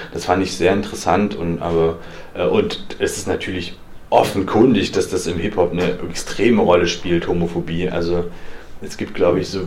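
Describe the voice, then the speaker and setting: A man speaks at a moderate pace in a very deep, low pitch with monotone, flat intonation. The recording has audible room echo and noticeable background noise. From eastern Germany. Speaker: freelance journalist. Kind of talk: lecture. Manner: halting.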